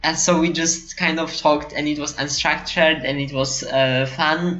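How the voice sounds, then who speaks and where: Over music in the background and with audible room echo, a woman talks at a fairly slow pace in a very deep, low voice with fairly even intonation. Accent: non-native. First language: not English. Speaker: card game podcast host. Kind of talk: casual chat. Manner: halting, many fillers and restarts.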